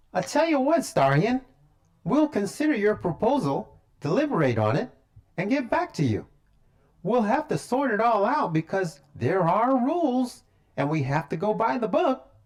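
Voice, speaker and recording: A cartoonish character voice pitched fairly high, with very wide swings in pitch. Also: moderate pace. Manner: formal, businesslike.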